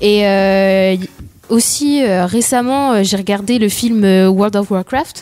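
Noticeable background noise sits behind a woman's voice. She speaks at a very slow pace with ordinary pitch variation. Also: medium pitch for a woman. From France, Sarthe. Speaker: radio show guest. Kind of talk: casual radio chat.

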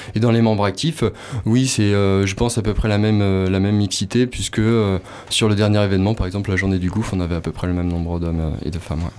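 This man talks at a very fast pace with a fairly low pitch. His pitch variation is ordinary. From western France, Nantes. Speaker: nonprofit project manager. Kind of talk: radio interview.

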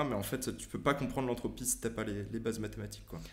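Speaking with vocal fry and fairly even intonation, a man is heard with audible room echo. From France. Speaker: science YouTuber and physics student. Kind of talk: casual interview.

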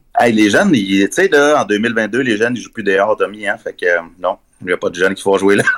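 With a dry, close sound and no echo, a man talks at a fairly quick pace. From Quebec, Abitibi (Rouyn-Noranda). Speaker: journalist and author. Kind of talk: interview. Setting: remote call.

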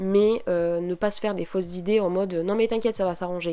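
Speaking at a fairly quick pace, a woman has a dark, mellow tone and a monotone, flat intonation. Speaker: podcaster. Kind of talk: casual solo podcast monologue. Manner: hesitant, many fillers.

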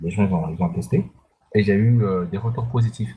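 Dark, mellow tone from a man, somewhat breathy. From Central African Republic. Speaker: indie game developer. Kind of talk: interview.

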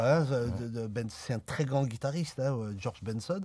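Somewhat breathy, a man speaks at a moderate pace. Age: 40s. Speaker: jazz accordionist. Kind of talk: radio interview.

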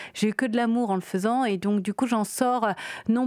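An ordinary speaking voice from a woman, fairly high in pitch, with fairly even intonation, on a very clean recording against a silent background. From Réunion. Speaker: film director. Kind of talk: interview.

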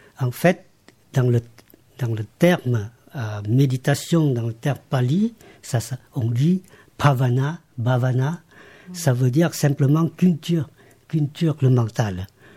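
A man's medium-pitched, somewhat breathy voice with a dark, mellow tone, ordinary pitch variation, a very slow pace, and long, frequent pauses. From Laos. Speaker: meditation teacher. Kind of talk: interview.

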